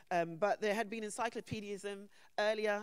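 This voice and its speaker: A woman speaks in a London accent. Her pace is moderate. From England, London. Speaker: conference panel speaker. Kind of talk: conference talk.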